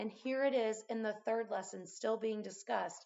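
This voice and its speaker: At a moderate pace, a woman speaks with vocal fry. Her pitch is fairly high. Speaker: math teacher. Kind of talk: casual teaching talk. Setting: at home.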